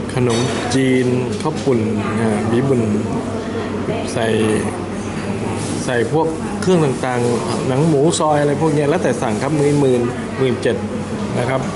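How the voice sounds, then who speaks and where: Loud background noise accompanies a voice with ordinary pitch variation. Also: man. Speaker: food reviewer. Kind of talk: casual food review narration. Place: cafe. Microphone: phone near.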